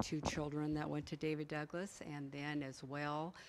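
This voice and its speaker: A woman's very deep, low pitch over noticeable background noise. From Oregon, Portland area. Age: 50s. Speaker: former school board member. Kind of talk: public comment at meeting. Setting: board meeting room with audience. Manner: loud.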